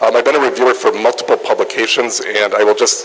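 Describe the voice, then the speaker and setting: A man with a northern US accent speaks over noticeable background noise. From northern US near Canada. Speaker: nutrition researcher and journal editor. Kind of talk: lecture.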